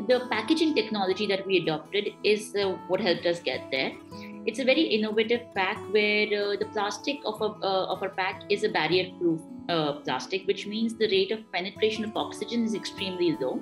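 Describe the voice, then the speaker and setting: Clear music plays in the background. A woman talks at a fairly quick pace. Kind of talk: interview answer. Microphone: video call.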